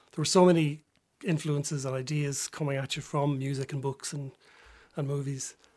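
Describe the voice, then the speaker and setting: A somewhat breathy man with a Dublin accent, fairly high pitch, monotone, flat intonation, and a fairly quick pace. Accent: Dublin Irish. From Dublin, Ireland (Drumcondra). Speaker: novelist. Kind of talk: radio interview. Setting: radio studio. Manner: hesitant, with many ums and restarts.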